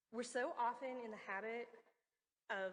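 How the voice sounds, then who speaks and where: This is a woman speaking with an American accent. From US, West Virginia. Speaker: research meteorologist, conference speaker. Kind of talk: conference talk.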